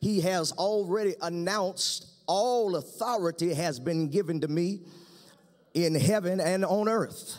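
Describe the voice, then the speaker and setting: The speaker talks at a fairly slow pace with ordinary pitch variation over a quiet background. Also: man, high pitch for a man. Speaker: pastor. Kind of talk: sermon. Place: stage. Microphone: podium.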